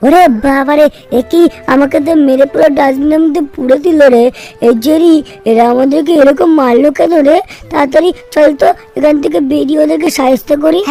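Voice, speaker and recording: Faint music plays behind a man doing a cartoonish character voice at an extremely high pitch and a moderate pace. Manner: chatty, excitable, colloquial.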